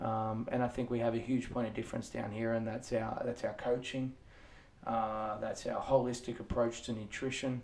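A man's medium-pitched voice, monotone and flat, at a moderate pace over noticeable background noise. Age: 30s. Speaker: fitness coach and podcast co-host. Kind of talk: casual chat.

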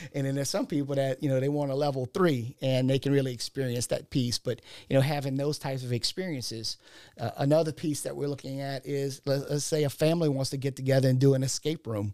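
A man's voice has a fairly high pitch and a dark, mellow tone. The recording is very clean with a silent background and a dry, close sound with no echo. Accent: South Louisiana. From South Louisiana, Ascension/Assumption Parish. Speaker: entrepreneur, insurance agent. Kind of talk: casual interview.

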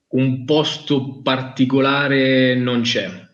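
Very slow speech from a man at medium pitch, with audible room echo. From Italy, Marche (Macerata province). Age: 20s. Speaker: fishing brand product manager. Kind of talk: casual interview on live stream.

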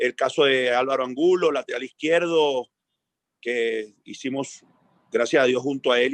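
In a dry, close recording with no echo, a man with an ordinary speaking voice talks at a moderate pace, his pitch fairly high and his intonation fairly even. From Venezuela. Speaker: football coach. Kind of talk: interview.

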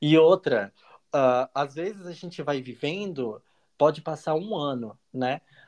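Recorded with a dry, close sound and no echo, a man speaks very slowly at a fairly high pitch. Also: ordinary pitch variation. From Brazil, Santa Catarina (small coastal town). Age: 30s. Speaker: master's student and foreign trade professional. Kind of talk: casual interview.

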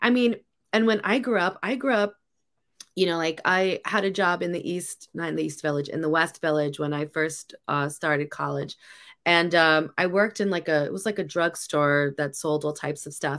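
On a very clean recording with a silent background, an ordinary speaking voice with an American accent keeps a moderate pace and ordinary pitch variation. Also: woman, fairly low pitch for a woman. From New York City. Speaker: podcast host. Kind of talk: casual chat.

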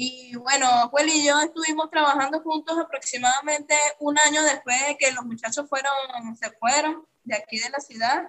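High-pitched female speech, intonation fairly even. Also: moderate pace. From Venezuela, Caracas. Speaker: clown and circus artist. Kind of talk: interview.

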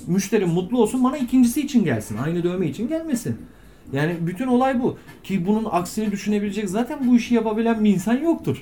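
Pitched high for a man, his voice makes very wide pitch swings at a fairly quick pace. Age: 30s. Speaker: tattoo artist. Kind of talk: interview.

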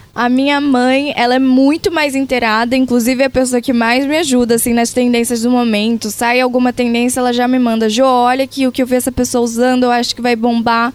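With a Pará accent, a woman speaks at a high pitch in a monotone, flat intonation, with very even loudness and hardly any pauses. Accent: Pará (northern Brazilian). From Brazil, Pará (Castanhal). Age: 20s. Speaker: social media influencer. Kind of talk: interview.

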